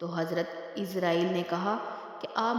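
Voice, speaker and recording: The speaker is a woman. Noticeable background noise sits behind her voice. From Pakistan. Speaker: voice-over artist. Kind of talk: Islamic religious storytelling narration.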